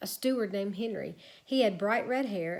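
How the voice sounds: The pitch moves in an ordinary way. The voice reads aloud naturally.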